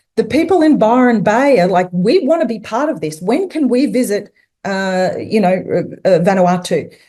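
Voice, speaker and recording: Woman with an Australian accent, fairly high pitch and a dark, mellow tone, at a moderate pace with very wide pitch swings. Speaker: tourism consultant and speaker. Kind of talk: webinar presentation. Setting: online webinar. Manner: halting, many fillers.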